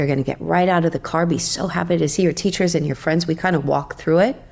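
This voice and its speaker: Calm and relaxed in tone, a woman with a fairly low voice and vocal fry speaks with fairly even intonation. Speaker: yoga teacher. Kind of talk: casual interview chat. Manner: calm, relaxed.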